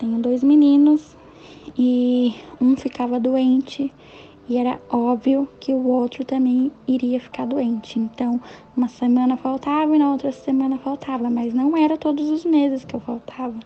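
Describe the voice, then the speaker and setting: A woman speaks at a fairly slow pace in a high pitch. Her intonation is monotone and flat. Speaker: self-employed mother. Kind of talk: interview testimony.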